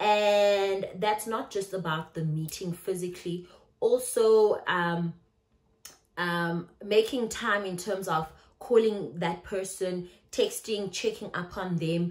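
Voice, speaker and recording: A woman with a South African accent speaks at a very slow pace and medium pitch, her intonation fairly even. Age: 30s. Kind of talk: casual talk to camera.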